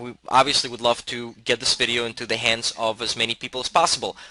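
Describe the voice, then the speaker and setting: A man's bright, sharp tone in a dry, close recording with no echo. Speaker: real estate investing educator. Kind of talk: tutorial. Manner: fast.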